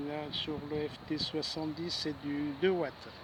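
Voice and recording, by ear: Slow and fairly high in pitch, a man speaks with little pitch movement.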